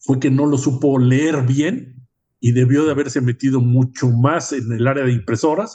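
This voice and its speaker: At a moderate pace, a man talks in a medium-pitched, somewhat breathy voice with a dark, mellow tone and fairly even intonation. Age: 70s. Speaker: podcast host. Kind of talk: podcast interview.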